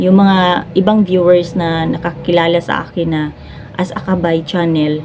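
Fairly low female voice over noticeable background noise. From Cebu, Philippines. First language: Cebuano (speaking Tagalog). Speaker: vlogger and live streamer. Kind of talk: casual vlog talk to camera.

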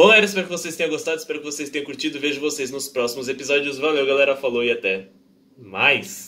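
The voice has a bright, sharp tone, ordinary pitch variation and a very fast pace. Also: man. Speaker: anime reaction youtuber. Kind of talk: casual vlog chat. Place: home room. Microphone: headset.

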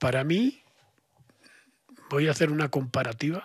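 A man speaks in a somewhat breathy voice with a Spanish accent, the sound dry with no echo and the background quiet. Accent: Spanish (Spain). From Spain. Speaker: esotericism expert; podcast guest. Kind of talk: podcast interview. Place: studio. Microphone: studio mic.

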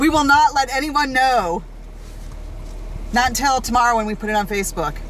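The sound is dry with no echo, with light background noise. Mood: amused, teasing. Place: forest.

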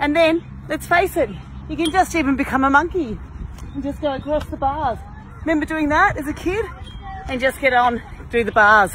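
A woman's high-pitched voice at a moderate pace, with ordinary pitch variation, long and frequent pauses, dry sound without echo, and crowd noise behind. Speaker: fitness trainer. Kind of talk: casual exercise tutorial. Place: garden. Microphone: phone near.

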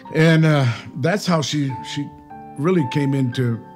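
A man talks with ordinary pitch variation. Faint music plays in the background. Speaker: interviewee. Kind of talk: interview answer. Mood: reflective, warm. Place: home room.

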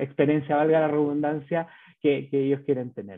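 A fairly high-pitched male voice against a quiet background. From Chile. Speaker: bank business manager presenting; presenter. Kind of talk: webinar presentation. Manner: halting, many fillers and repetitions. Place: home room. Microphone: webcam.

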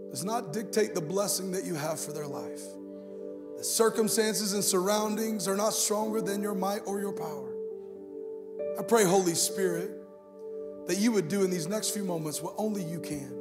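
A man speaks at a moderate pace with ordinary pitch variation and long, frequent pauses while clear music plays in the background. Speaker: guest pastor. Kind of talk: sermon. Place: stage. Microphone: handheld.

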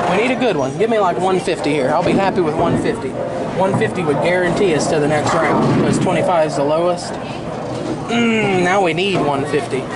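With loud background noise behind him, a man talks at a fairly quick pace, his pitch varying in an ordinary way. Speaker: vlogger. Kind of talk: casual vlog chat. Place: hall. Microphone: phone near.

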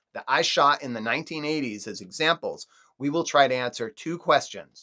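The background is quiet while this man speaks. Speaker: youtuber. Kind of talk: scripted vlog narration. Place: home room.

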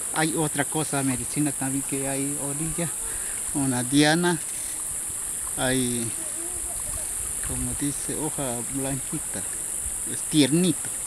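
Speaking at a very slow pace with long, frequent pauses, a man with a fairly high pitch keeps his intonation fairly even, the sound dry with no echo over noticeable background noise. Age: 50s. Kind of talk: interview answer. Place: waterside. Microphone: phone near.

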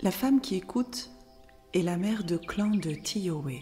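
Music plays behind a woman who speaks very slowly in a fairly low pitch with a calm, soothing tone. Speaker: narrator of women's circle wisdom tales. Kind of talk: spiritual tale reading, relaxation-style narration.

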